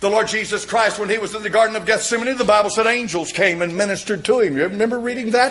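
A man speaks at a very fast pace in a high pitch. His tone is animated. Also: ordinary pitch variation, hardly any pauses. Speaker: preacher. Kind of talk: sermon. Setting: church. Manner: emphatic, repetitive, pounding home points with direct appeals; animated, fervent pulpit delivery with frequent amens. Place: church. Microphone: podium.

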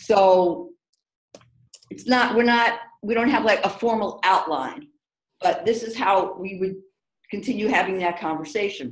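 A woman with a New York accent talks at a moderate pace, leaving long, frequent pauses. Audible room echo surrounds her voice. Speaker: diversity consultant. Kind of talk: webinar discussion. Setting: video call. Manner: animated. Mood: reflective, storytelling. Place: home room. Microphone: video call.

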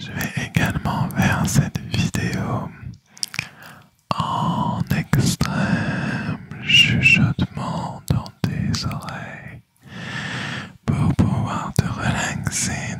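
A man whispers very slowly, with long, frequent pauses. The sound is dry with no echo. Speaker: ASMR creator. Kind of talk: ASMR whispered talk to viewers. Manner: extreme whisper right into the mic. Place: home room. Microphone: studio mic.

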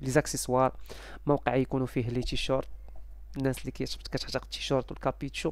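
A man with a Moroccan accent talks at a fairly quick pace, and the sound is dry with no echo. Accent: Moroccan Darija. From Morocco. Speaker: YouTuber selling game subscriptions. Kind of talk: casual vlog talk to viewers. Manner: halting, many fillers. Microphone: headset.

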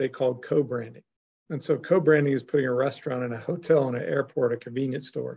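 Somewhat breathy and dark, mellow in tone, a man speaks at a very fast pace with ordinary pitch variation. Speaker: guest. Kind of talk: interview answer. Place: office. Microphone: video call.

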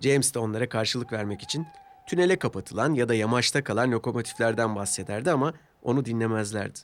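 The pace is fast, with ordinary pitch variation. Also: man, medium pitch for a man.

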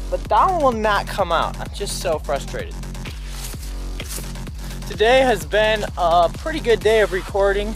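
Clear music plays behind a man speaking at a moderate pace. The sound is dry with no echo, and he pauses long and often. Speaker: vlogger. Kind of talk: casual talk to camera. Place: garden. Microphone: phone near.

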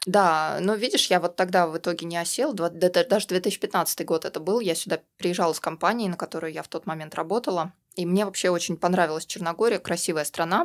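A woman has an unremarkable speaking voice, fairly low in pitch. She talks at a fairly quick pace with ordinary pitch variation. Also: very clean recording, silent background. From Russia. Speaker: activist, community member. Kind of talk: casual interview chat. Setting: studio.

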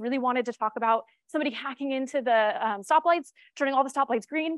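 A woman talks at a very fast pace in a high pitch, with an American accent. The sound is dry with no echo, and the background is quiet. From New York. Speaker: cybersecurity strategist; conference presenter. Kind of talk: conference talk. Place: stage.

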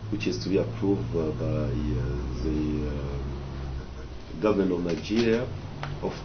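Noticeable background noise sits behind the speech. A man talks very slowly. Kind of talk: interview answer. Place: office. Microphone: camera far.

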